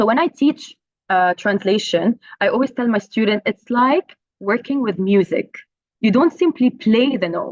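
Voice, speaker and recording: A woman speaks at a fairly high pitch in an Arabic accent. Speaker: translation professor. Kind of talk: conference talk. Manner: hesitant, many fillers.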